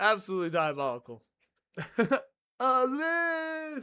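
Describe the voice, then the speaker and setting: Very wide pitch swings mark this man's raised, projected voice, whose tone is bright and sharp. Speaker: game streamer. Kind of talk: live gameplay stream chat. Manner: animated.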